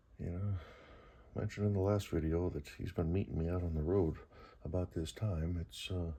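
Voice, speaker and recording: A man's quiet, somewhat breathy voice, very deep and low with a dark, mellow tone, fairly even intonation and a moderate pace. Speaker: vlogger. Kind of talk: casual talk to camera. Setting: garage at night. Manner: relaxed, hesitant.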